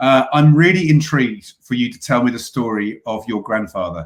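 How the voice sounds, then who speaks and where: At a moderate pace, a man with a medium pitch speaks in a British accent. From UK. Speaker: podcast host. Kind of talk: interview. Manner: hesitant, many fillers.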